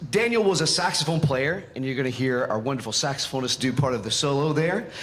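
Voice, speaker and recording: With an American accent, the speaker uses lively intonation at a fairly quick pace, amid noticeable background noise and audible room echo. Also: man. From Western North Carolina. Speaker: band conductor. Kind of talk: concert stage announcement. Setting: concert stage with audience.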